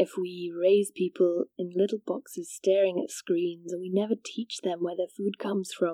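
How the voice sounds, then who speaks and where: Woman with a Welsh accent, medium pitch, dark, mellow tone, fairly even intonation, fairly slow pace with hardly any pauses, and a dry, close sound with no echo. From rural Wales. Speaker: podcast host. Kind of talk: scripted narration.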